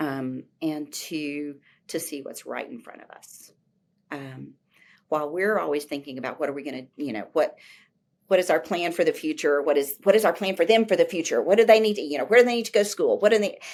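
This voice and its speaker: A woman talks at a fairly quick pace in a fairly low pitch, her intonation lively and her loudness swinging widely. It is an ordinary speaking voice on a very clean recording with a silent background. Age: 60s. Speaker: professor of teacher education. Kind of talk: interview conversation.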